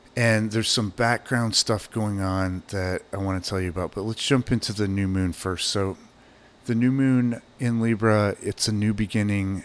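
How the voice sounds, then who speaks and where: A man talks with fairly even intonation, keeping to a moderate pace. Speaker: astrologer and podcast host. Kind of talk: solo podcast talk on astrology. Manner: casual, many filler words. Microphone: new microphone.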